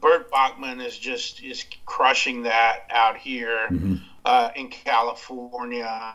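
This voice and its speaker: With music in the background, a man talks at a very slow pace in an American accent. His intonation is fairly even, while his loudness swings widely. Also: medium pitch for a man. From West Texas (Abilene). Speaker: barbecue podcast host. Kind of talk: casual interview. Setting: Skype call.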